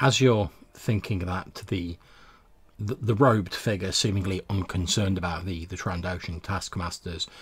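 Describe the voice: Fairly even intonation with a slightly husky edge. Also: man, low pitch for a man, fairly slow pace.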